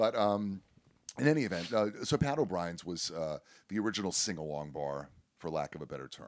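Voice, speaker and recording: A man with an American accent speaks at a very deep, low pitch and a fairly quick pace. His pitch swings very widely and his loudness shifts in big swings. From US South, South Florida. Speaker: dueling piano player. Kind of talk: casual interview. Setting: cruise ship.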